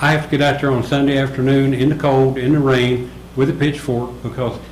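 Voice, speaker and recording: With a flat, monotone delivery, a man speaks fairly quickly amid audible room echo and noticeable background noise. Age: 70s. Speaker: resident speaking at public comment. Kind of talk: public comment at a town meeting.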